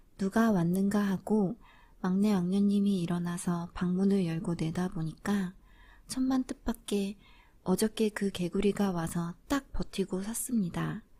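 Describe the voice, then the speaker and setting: In a gentle, calm tone, the speaker goes at a fairly slow pace on a very clean recording with a silent background. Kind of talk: fairy tale reading.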